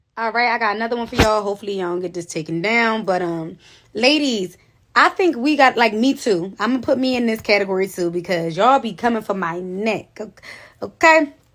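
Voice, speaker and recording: The recording is very clean, with a silent background. A woman speaks fairly quickly at a fairly high pitch, her intonation lively. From Philadelphia, US. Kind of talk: casual social media monologue. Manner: assertive, forceful.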